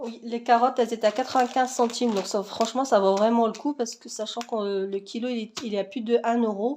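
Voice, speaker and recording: Noticeable background noise sits behind a woman speaking at a fairly quick pace. Her fairly high voice keeps a fairly even intonation. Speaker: vlogger. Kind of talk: casual haul vlog. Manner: hesitant, many fillers.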